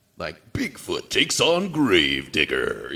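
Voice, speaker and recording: A man puts on a character voice. He delivers it at a fairly slow pace. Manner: hyped, bombastic.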